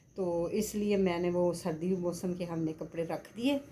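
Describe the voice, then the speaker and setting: At a very slow pace, a woman speaks in a fairly low pitch with a dark, mellow tone and ordinary pitch variation. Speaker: vlogger. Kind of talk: casual vlog monologue.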